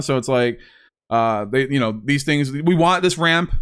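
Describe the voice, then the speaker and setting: The recording is very clean with a silent background, as a man with a fairly high pitch talks at a moderate pace with ordinary pitch variation. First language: not Spanish (English speaker). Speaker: gaming YouTuber. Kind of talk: gameplay commentary / deck tech. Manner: casual, many fillers (um, uh).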